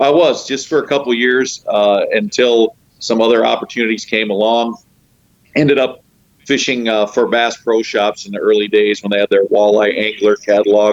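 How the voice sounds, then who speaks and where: A man speaks in a plain, everyday voice. His intonation stays fairly even at a moderate pace. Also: medium pitch for a man. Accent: American. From northeast Ohio, rural. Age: 50s. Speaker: professional angler and fishing guide. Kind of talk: casual chat.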